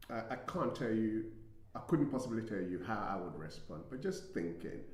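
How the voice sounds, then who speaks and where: With audible room echo, a man's medium-pitched voice swings very widely in pitch. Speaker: relationship talk show co-host. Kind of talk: live casual discussion. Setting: studio. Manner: halting, stuttering.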